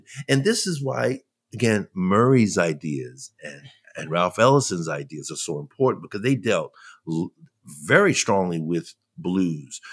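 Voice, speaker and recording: Over a silent background in a very clean recording, a man's pitch swings very widely. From New York (Brooklyn). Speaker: jazz leadership consultant and cultural writer. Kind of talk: podcast interview.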